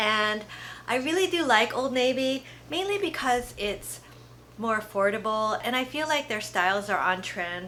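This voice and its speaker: Using a plain, everyday voice, a woman speaks at a moderate pace with a fairly high pitch and lively intonation. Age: 50s. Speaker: fashion haul vlogger. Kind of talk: casual product review. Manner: relaxed, chatty.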